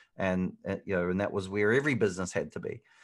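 A man with a New Zealand accent speaks at a fairly quick pace against a quiet background. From New Zealand, Hamilton. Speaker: digital marketing expert. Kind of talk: interview. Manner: hesitant, many fillers.

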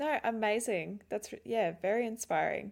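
Speaking at a fairly slow pace in an Australian accent, a woman uses a fairly high pitch with ordinary pitch variation, in a very clean recording with a silent background. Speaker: podcast host. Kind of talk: casual interview.

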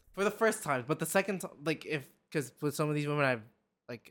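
A man's fairly high voice at a very fast pace, on a very clean recording with a silent background. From Philippines. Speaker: podcast guest. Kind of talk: casual chat.

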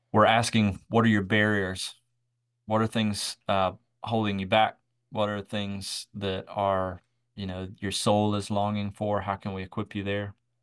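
A man's fairly low, monotone voice in a Southern US accent, at a fairly slow pace, with flat intonation, a dry, close sound with no echo and a quiet background. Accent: Southern US (Georgia). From US South, south Georgia then Atlanta. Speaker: microchurch network leader. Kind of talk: casual interview.

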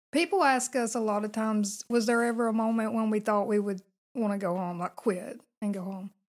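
Speaking in a normal speaking voice at a fairly quick pace, a woman has a fairly high pitch and ordinary pitch variation in a very clean recording with a silent background. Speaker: long-distance hiker guest. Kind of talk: casual interview chat. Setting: vacant house studio.

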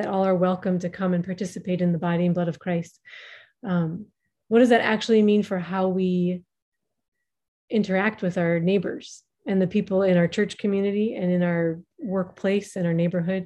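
Against a quiet background, a woman with an American accent speaks at a medium pitch, her dark, mellow tone carrying fairly even intonation. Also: moderate pace. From US Midwest, Minnesota. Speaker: writer and linguist. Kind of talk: interview.

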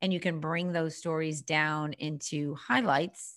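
Against a quiet background, a woman with a very deep, low voice keeps a moderate pace and fairly even intonation. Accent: slight Boston. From Boston, Massachusetts. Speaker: business coach. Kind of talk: interview.

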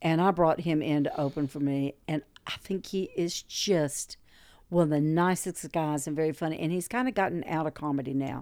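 A woman's very deep, low pitch with a Southern US accent, at a moderate pace with ordinary pitch variation, on a very clean recording with a silent background. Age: 60s. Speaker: stand-up comedian. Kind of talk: casual interview conversation.

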